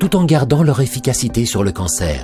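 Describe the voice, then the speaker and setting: A man speaks in a calm tone at a moderate pace, his pitch swinging very widely. Music plays in the background. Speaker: voice-over artist, narrator. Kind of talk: medical explainer narration, patient information video. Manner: calm, clear, informative.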